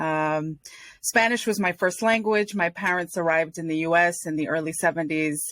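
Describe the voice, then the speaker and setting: On a very clean recording with a silent background, a woman with an American accent speaks in a normal speaking voice at a fairly low pitch with ordinary pitch variation. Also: moderate pace. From Rhode Island, US. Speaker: nonprofit and community leader. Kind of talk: podcast interview.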